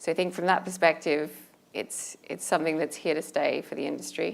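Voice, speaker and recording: A woman's fairly low voice with vocal fry and an Australian accent. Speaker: asset management panelist. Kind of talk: panel discussion.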